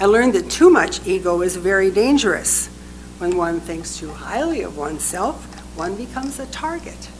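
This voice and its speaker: A woman speaks at a moderate pace with big swings in loudness. Audible room echo and noticeable background noise surround her. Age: 80s+. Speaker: minister. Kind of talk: sermon.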